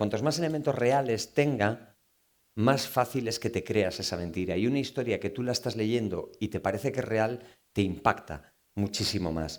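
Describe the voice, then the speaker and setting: Over a silent background in a very clean recording, a man with a Galician accent speaks at a moderate pace with lively intonation. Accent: Galician Spanish accent coming out. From Galicia, Spain. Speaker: novelist. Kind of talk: book talk Q&A with audience. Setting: live event with audience. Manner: animated.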